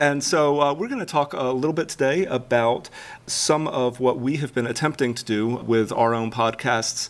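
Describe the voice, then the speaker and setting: A man talks fairly quickly in an unremarkable speaking voice, using ordinary pitch variation. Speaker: podcast host. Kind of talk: live panel discussion. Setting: stage with audience.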